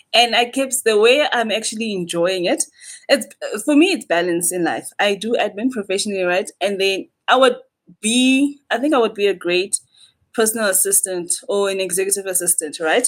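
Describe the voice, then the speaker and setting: A woman talks with lively intonation at a moderate pace and a medium pitch. Hers is a normal speaking voice. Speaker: podcast guest, administrator. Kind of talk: casual chat.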